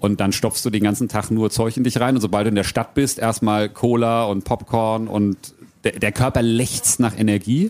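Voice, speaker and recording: A man at a moderate pace and medium pitch, an ordinary speaking voice. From Frankfurt area, Hesse. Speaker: adventurer and keynote speaker. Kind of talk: live podcast interview. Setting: outdoor event stage with audience.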